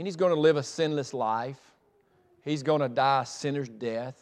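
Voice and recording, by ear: At a fairly slow pace, a man talks with a medium pitch. His pitch variation is ordinary.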